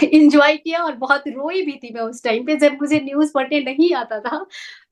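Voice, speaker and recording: A woman speaks with a Nepali accent. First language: Nepali (speaking Hindi). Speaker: news anchor and singer. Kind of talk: interview.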